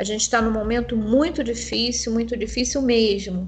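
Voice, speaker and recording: With audible room echo, the speaker uses fairly even intonation at a moderate pace. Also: woman. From Rio de Janeiro, Brazil. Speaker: nursing professor and theologian. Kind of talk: panel discussion.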